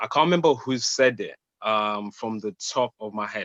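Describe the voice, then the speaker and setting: Someone with a Zimbabwean accent speaks at a moderate pace. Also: man. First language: Shona. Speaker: spoken word poet. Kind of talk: casual chat. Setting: video call.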